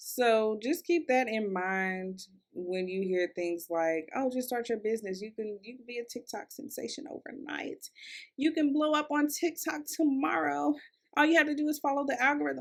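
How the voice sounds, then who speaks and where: A woman's high voice shows very wide pitch swings and big swings in loudness. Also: moderate pace. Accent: American. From US South, Louisville, Kentucky. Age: 20s. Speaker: podcast host, content creator. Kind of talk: casual solo podcast monologue. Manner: conversational, chatty with fillers.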